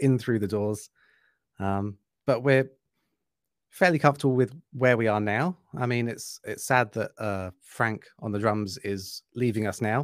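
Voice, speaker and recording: A man with an English accent, medium pitch, ordinary pitch variation and moderate pace, on a very clean recording with a silent background. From England. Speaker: metal musician. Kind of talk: casual interview.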